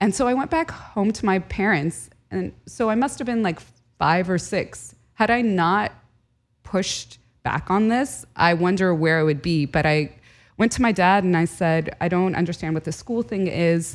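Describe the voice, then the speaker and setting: The recording is very clean with a silent background. A woman speaks at medium pitch and a moderate pace. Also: lively intonation. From Southern California. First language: Arabic. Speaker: historian and journalist. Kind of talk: casual interview conversation. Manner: animated, emotional.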